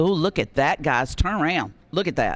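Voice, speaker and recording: In a Tennessee accent, a man talks. His voice is high-pitched. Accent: Southern US (Tennessee). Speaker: radio auction host. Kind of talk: live auction calling. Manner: loud.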